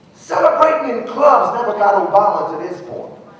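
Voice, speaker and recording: Over noticeable background noise, a man speaks at a fairly slow pace in an extremely high pitch. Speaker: spoken word artist. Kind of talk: spoken word poetry performance. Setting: live event.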